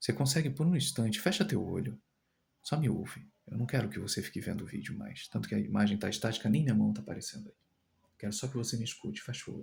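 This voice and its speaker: A soft-spoken man talks at a very fast pace. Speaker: tarot reader and spirit medium. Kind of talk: channelled spiritual message.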